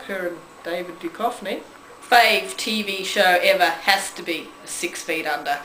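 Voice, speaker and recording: A woman's voice with ordinary pitch variation, audible room echo and light background noise. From Australia. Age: 40s. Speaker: vlogger. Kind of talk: casual talk to camera. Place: home room. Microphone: camera far.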